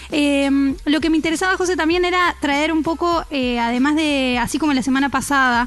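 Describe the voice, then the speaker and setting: This woman has a high-pitched voice and talks at a fairly quick pace. Her pitch varies in an ordinary way. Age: 30s. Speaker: radio host. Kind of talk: radio news report.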